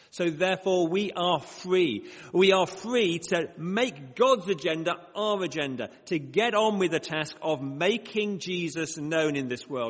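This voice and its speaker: A man's high voice in a northern English accent, at a fairly slow pace with ordinary pitch variation, over noticeable background noise. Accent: northern English, short vowels. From northern England, Bradford. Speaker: mission organisation director, preacher. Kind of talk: prayer; sermon. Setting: church with congregation, microphone.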